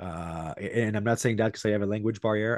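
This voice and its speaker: Over a quiet background, a man with a French accent speaks at a moderate pace and a fairly low pitch, with lively intonation and a dry, close sound with no echo. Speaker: podcast host. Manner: casual, enthusiastic.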